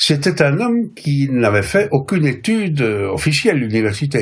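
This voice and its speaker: Over noticeable background noise, a man talks at a moderate pace with very wide pitch swings. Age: 70s. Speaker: professor and translator. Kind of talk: interview. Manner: hesitant, many fillers.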